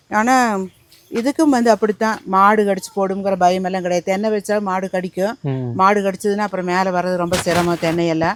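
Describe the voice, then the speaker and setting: A woman at a medium pitch speaks with ordinary pitch variation over noticeable background noise. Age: 60s. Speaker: organic farmer. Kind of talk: interview answer.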